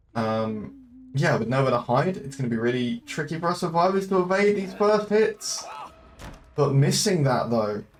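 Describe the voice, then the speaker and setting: Very wide pitch swings at a moderate pace, with music in the background. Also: man, fairly high pitch for a man. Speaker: esports caster. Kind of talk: live commentary. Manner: hesitant with filler sounds.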